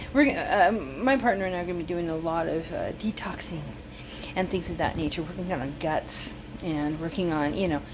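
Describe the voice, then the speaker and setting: A woman's medium-pitched voice carries through audible room echo, with noticeable background noise underneath. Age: 60s. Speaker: cooking channel host. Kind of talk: casual cooking tutorial. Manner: casual, halting with fillers.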